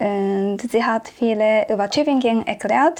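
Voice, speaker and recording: A woman with a Japanese accent talks very slowly in a fairly high voice with ordinary pitch variation. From Japan, Tokyo. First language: Japanese (speaking German). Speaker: exchange student. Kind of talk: interview. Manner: halting.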